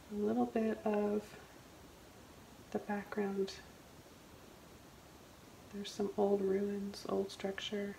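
A soft-spoken woman at a very slow pace, with long, frequent pauses, fairly even intonation and light background noise. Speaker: painting instructor. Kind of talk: painting tutorial narration. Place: studio.

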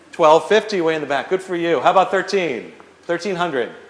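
A man speaks at a fairly quick pace with a high voice and ordinary pitch movement. His tone is upbeat, and room echo is audible. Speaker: auctioneer. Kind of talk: charity auction, live event. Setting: live event hall, PA system. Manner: upbeat, encouraging bid calling. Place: hall. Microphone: camera far.

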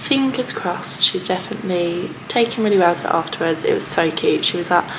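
A woman is speaking. Noticeable background noise can be heard. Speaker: parent vlogger. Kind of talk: casual vlog chat. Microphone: phone near.

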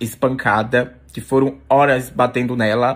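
A man talks at a medium pitch. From Brazil. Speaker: social media influencer; content creator. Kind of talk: emotional video vlog. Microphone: phone near.

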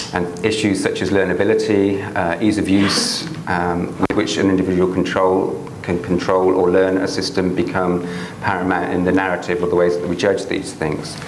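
Talking at a moderate pace in a very deep, low pitch, a man keeps a monotone, flat intonation amid audible room echo and light background noise. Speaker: professor and researcher. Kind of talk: academic seminar lecture. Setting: lecture hall with audience. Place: classroom.

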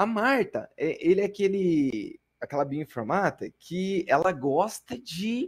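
A man against a quiet background. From interior of Paraná, Brazil. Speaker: bioinformatics researcher giving a talk; lecturer. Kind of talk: lecture. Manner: halting. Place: home room.

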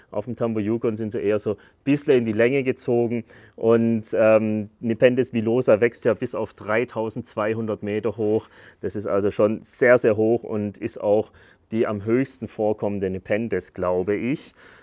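A man speaks at a medium pitch and moderate pace in a dark, mellow tone. His intonation is monotone and flat, over a quiet background. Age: 30s. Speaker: YouTuber presenting carnivorous plants. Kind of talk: casual video presentation. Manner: casual, filler-heavy. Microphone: lapel.

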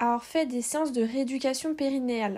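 The woman's voice sits at a high pitch with fairly even intonation. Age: 20s. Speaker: patient sharing testimony. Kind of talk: testimony. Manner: halting.

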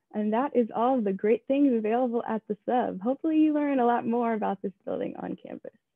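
A woman speaks in an ordinary speaking voice with an American accent at a fairly quick pace and a fairly high pitch, with ordinary pitch variation. The sound is dry with no echo, over a quiet background. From southeastern Pennsylvania, Downingtown; Pennsylvania. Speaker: student tour guide. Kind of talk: guided campus tour. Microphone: webcam.

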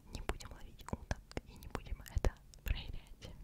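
A woman is whispering at a moderate pace. Her tone is soothing. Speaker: ASMR creator. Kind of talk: ASMR whisper for sleep with interesting facts. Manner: whispered, close-mic, soothing. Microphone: studio mic.

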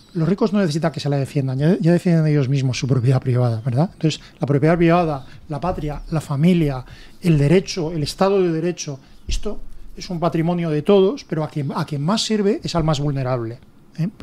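A man with a dark, mellow tone at a fairly quick pace. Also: fairly high pitch for a man, ordinary pitch variation. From Spain. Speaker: political commentator; radio panelist. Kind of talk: panel debate. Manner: halting. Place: studio.

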